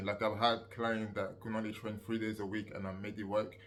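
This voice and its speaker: Here a man talks. His voice is fairly low in pitch. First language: not English. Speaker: fitness coach and youtuber. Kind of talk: casual tutorial monologue. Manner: hesitant, many fillers.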